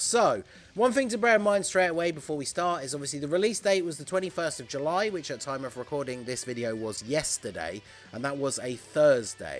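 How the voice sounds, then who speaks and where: With music in the background, a man in a British accent talks at a fairly quick pace with very wide pitch swings. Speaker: gaming YouTuber. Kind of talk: gaming commentary video.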